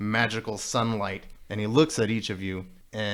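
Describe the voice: This recording is plain reading aloud.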